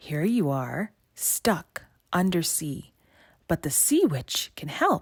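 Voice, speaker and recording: A put-on character voice at a middle pitch, very slow, with hissing throughout. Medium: read story. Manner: sly, persuasive.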